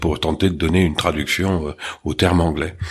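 Over noticeable background noise, someone with a Marseille accent talks at a moderate pace in a monotone, flat intonation. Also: man. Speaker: restaurant franchise co-founder. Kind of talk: interview.

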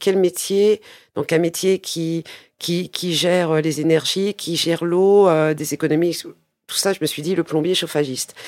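A woman's fairly even intonation in a dry, close sound with no echo. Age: 50s. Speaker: plumber and business owner. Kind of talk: interview. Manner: halting, many hesitations.

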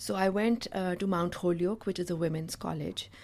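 This woman's voice sits fairly low in pitch, with an American accent. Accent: Pakistani English, US-educated. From Pakistan. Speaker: nonprofit founder. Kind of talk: interview.

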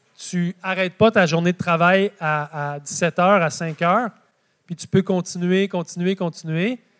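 Speaking at a fairly slow pace in a Quebec accent, a man with a high pitch and ordinary pitch variation sounds dry and close, with no echo. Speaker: market gardener and author. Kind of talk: live public talk. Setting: stage with audience.

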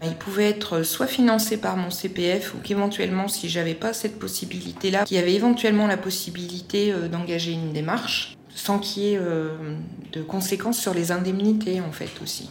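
A woman at medium pitch, fairly even in intonation, moving at a moderate pace with hardly any pauses, amid noticeable background noise and audible room echo. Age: 40s. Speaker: educational support worker retraining as job counsellor. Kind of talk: testimony. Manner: hesitant, many fillers.

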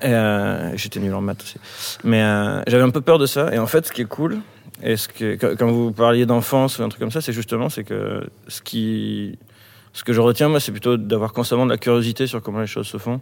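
A man of medium pitch talks at a moderate pace with fairly even intonation. It is an ordinary speaking voice. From rural France near Bordeaux. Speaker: rock musician. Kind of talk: casual chat. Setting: on stage of an opera house. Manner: casual.

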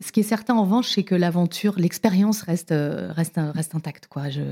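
Her voice is fairly low-pitched for a woman, dark and mellow in tone, with ordinary pitch variation. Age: 50s. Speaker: TV presenter. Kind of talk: casual interview. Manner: animated.

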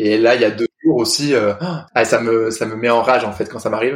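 A man speaks in a plain, everyday voice. His pace is fairly quick and his intonation fairly even. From northern France, Lille area. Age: 30s. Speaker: restaurant owner and guide dog puppy raiser. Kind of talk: casual interview.

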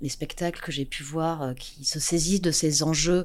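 A woman with a very deep, low pitch speaks fairly slowly with vocal fry and ordinary pitch variation. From southwest France (Landes). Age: 40s. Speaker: theatre studies professor. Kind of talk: interview. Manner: halting.

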